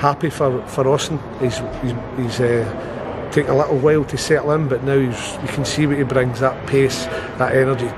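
A man talks at a moderate pace. Background noise is noticeable. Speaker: football head coach. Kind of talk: interview answer. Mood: pleased after a win. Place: stadium. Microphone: lapel.

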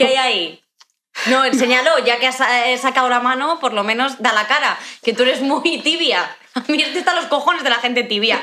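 A woman speaks at a fairly quick pace in a high-pitched, raised, projected voice. Her loudness stays very even, and her pitch varies in an ordinary way. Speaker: podcast co-host. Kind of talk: casual comedy podcast conversation. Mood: playful teasing. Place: home room. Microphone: studio mic.

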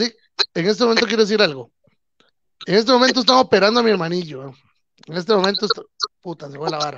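Speaking at a very fast pace with a Costa Rican accent, a high-pitched man uses lively intonation and long, frequent pauses, in a dry sound with no echo and a quiet background. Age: 30s. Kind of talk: casual chat. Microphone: video call.

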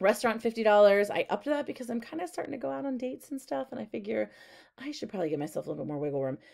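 Over a quiet background, a woman talks very fast with vocal fry and very wide pitch swings. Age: 40s. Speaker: personal finance YouTuber. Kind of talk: casual budget walkthrough. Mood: chatty, slightly exasperated. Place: home room. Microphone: webcam.

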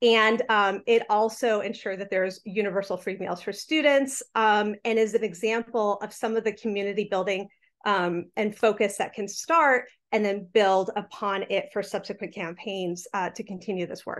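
At a moderate pace, a woman talks with medium pitch and fairly even intonation. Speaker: tax justice advocate; presenter. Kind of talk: panel presentation. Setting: video call. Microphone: webcam.

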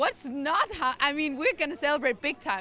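A woman speaks in a raised, projected voice. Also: dry sound with no echo. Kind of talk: interview answer. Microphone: handheld.

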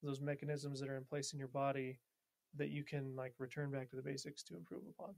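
Using an ordinary speaking voice, a man talks at a fairly quick pace and a fairly high pitch. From Montana, US. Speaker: military officer, D&D player. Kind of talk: casual chat with role-play.

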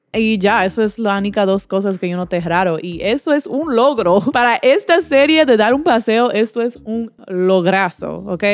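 Animated in tone, a woman with a fairly high voice speaks at a fairly slow pace with lively intonation and hardly any pauses, the sound dry with no echo. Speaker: YouTuber. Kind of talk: casual commentary video. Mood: playful, opinionated. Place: home room. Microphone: handheld.

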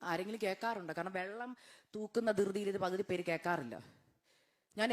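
With ordinary pitch variation, a woman's delivery comes across as animated. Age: 30s. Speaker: guest preacher. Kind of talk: sermon with personal testimony. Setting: church.

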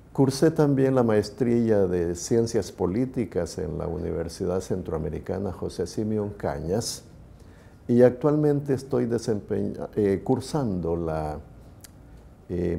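A man speaks at a very slow pace in a fairly low voice. His tone is dark and mellow, and his intonation is lively. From El Salvador, San Miguel; El Salvador. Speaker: lawyer, judicial candidate; candidate. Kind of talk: interview. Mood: calm, formal, measured. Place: hall. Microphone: lapel.

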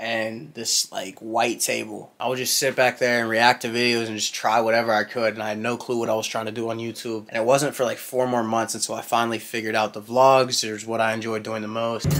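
A man rattles off his words at a very fast pace in a monotone, flat intonation. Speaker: fitness vlogger. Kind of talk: casual vlog chat. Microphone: phone near.

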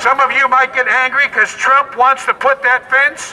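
A man's extremely high, raised and projected voice at a moderate pace, with light background noise. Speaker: street preacher. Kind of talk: street preaching sermon delivered to passersby. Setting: outdoors on a public street. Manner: forceful, declamatory, admonishing. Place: street.

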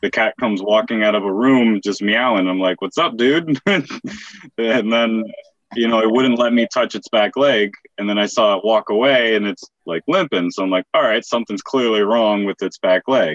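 Moderate pace and ordinary pitch variation, in a dry sound with no echo over a quiet background. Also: man. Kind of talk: casual story telling. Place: home room. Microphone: video call.

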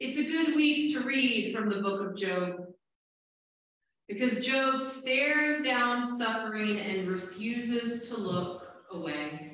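The speech moves at a very slow pace with lively intonation. Strong room echo fills the recording. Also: woman, fairly high pitch for a woman. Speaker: Presbyterian minister. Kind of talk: church sermon. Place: church.

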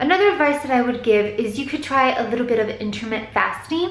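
The room echo is audible as a woman speaks at a high pitch. Her pitch variation is ordinary. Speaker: vlogger. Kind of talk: casual vlog chat. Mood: relaxed, advice-giving. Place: home room. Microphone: phone near.

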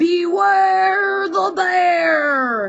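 A high-pitched put-on character voice with very wide pitch swings

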